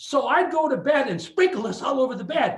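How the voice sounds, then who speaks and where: Audible room echo surrounds a man speaking fairly quickly with lively intonation in an Upper Midwest accent. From Superior, Wisconsin. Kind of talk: lecture. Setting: video call. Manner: animated.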